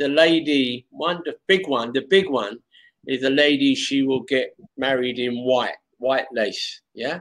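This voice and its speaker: A man at medium pitch with a London accent, against a quiet background. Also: ordinary pitch variation. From London, England. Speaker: online English tutor. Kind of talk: casual chat. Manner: slow. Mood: friendly, animated. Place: home room. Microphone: video call.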